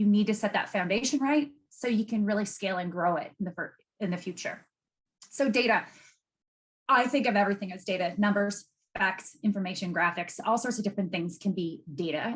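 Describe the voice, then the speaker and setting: The speech moves at a fairly quick pace, somewhat breathy, with ordinary pitch variation. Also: woman. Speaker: data expert giving a masterclass. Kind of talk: webinar presentation. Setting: video call. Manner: fast when excited.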